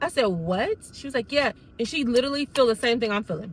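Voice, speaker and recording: A loud, animated woman's voice, high in pitch, with a bright, sharp tone. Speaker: YouTuber telling a personal story. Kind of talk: storytime monologue.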